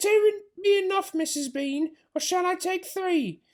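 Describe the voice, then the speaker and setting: A man does a put-on character voice that is squeaky and extremely high-pitched. His pace is moderate. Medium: read story.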